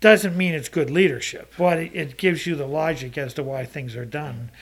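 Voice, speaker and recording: A somewhat breathy man's voice at a fairly high pitch with ordinary pitch variation. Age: 60s. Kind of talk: casual chat.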